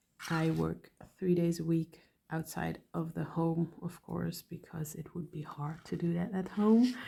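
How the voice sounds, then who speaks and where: Somewhat breathy and fairly low in pitch, a woman talks with fairly even intonation. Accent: non-native. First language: not English. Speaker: hobby YouTuber, dental hygienist. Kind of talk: casual chat while painting. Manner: halting, thinking while speaking.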